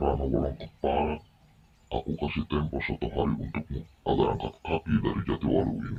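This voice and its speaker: In a put-on character voice, a man growls at a moderate pace with a very deep, low pitch. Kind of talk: radio drama performance. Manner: harsh, snarling.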